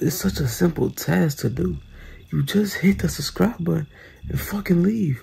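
Quietly, a man speaks at a moderate pace. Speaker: YouTuber. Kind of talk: casual vlog chat. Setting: at a friend's house. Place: home room. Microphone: phone near.

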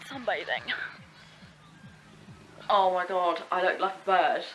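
Over music in the background, a woman with an Essex accent speaks at a medium pitch and fairly slow pace, leaving long, frequent pauses. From Essex, England. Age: young. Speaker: vlogger. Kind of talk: casual vlog talk to camera.

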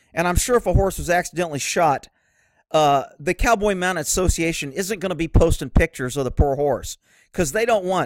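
In a dry, close sound with no echo, a man speaks at a very fast pace with lively intonation and a fairly high pitch. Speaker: horse-welfare video creator. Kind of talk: angry rant, sarcastic and scornful, aimed at mounted shooting fans; opinionated video commentary. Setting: online video with pictures shown. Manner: sarcastic.

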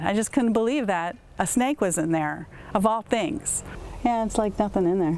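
A woman speaks at a moderate pace with lively intonation. The sound is dry, with no echo. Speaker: interviewee. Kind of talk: interview answer. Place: garden. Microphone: lapel.

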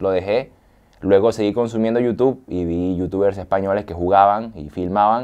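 Against a quiet background, a man with a fairly low pitch and a dark, mellow tone speaks at a moderate pace with fairly even intonation. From Venezuela, San Fernando de Apure; Venezuela. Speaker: gamer youtuber; interviewee, gamer youtuber. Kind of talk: interview. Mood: relaxed, smiling storytelling. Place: studio. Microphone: lapel.

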